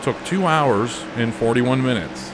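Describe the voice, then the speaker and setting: Amid noticeable background noise, a man talks in a Pittsburgh accent with ordinary pitch variation. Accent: Pittsburgh Yinzer accent, played up slightly. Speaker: racing game video creator. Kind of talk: casual chat. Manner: halting, many fillers.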